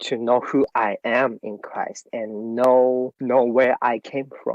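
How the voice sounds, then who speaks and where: A man with a Japanese accent, very slow in pace, flat and monotone in intonation. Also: medium pitch for a man. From Japan, Tokyo. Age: 30s. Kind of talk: interview. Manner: halting.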